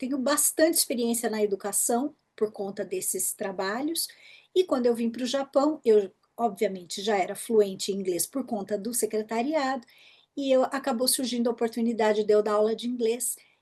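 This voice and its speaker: Against a quiet background, a woman talks at a moderate pace. Her dark, mellow tone sits fairly high in pitch with ordinary variation. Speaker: English teacher, former executive secretary. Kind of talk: interview. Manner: animated.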